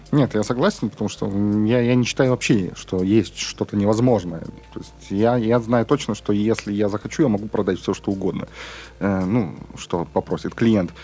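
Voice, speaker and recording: Fairly low for a man, his voice has a dark, mellow tone, ordinary pitch variation and a moderate pace. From Urals, Russia. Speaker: podcast host. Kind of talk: casual chat. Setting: studio.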